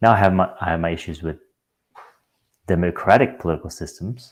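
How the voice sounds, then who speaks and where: Soft-spoken and very deep, a man talks at a moderate pace on a very clean recording with a silent background. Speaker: youtuber. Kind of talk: casual commentary.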